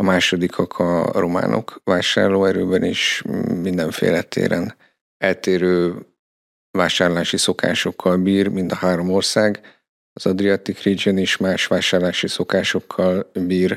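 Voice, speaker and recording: A man's very deep, low voice in a flat monotone, at a fairly slow pace, with a dry, close sound and no echo. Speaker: performance marketing manager. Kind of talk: interview.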